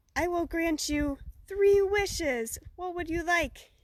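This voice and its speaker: A soft-spoken, put-on character voice at an extremely high pitch and a fairly slow pace. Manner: gentle.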